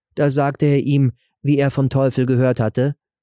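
A man with a medium-pitched voice and a dark, mellow tone speaks at a moderate pace with little pitch movement, in a very clean recording with a silent background and a dry, close sound with no echo.

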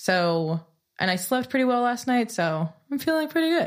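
A woman with a Californian accent and very wide pitch swings. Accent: Californian American English. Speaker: singer-songwriter. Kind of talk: casual interview chat.

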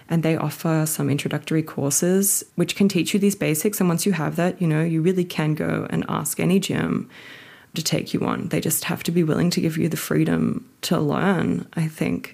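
Moderate-paced female speech with an Australian accent. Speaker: route setter. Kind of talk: interview.

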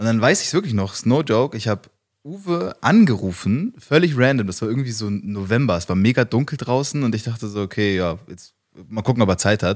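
On a very clean recording with a silent background, a man with an unremarkable speaking voice talks at a fairly quick pace and medium pitch with lively intonation. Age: 20s. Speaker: business consultant. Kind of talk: interview.

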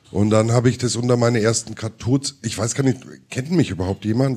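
Speaking at a moderate pace, a man has a plain, everyday voice with medium pitch. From Middle Franconia, Germany. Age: 50s. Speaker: musician and cartoonist. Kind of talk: live interview with audience. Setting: stage with audience.

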